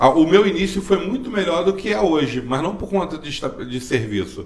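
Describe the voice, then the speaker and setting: A man has a normal speaking voice. He talks at a moderate pace with lively intonation. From Brazil, Magé (Rio de Janeiro state). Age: 40s. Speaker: driving school owner and local council candidate. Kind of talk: interview.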